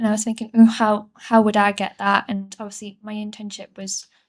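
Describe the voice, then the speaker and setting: In a very clean recording with a silent background, a woman's fairly high voice stays monotone and flat. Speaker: trainee journalist. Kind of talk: casual interview.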